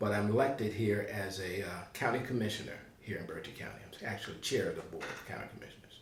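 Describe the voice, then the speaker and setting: A man with an American accent, fairly low in pitch and monotone in his flat intonation, amid noticeable background noise and audible room echo. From eastern North Carolina, Tarboro. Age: 70s. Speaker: retired executive and county commissioner. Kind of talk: oral history interview.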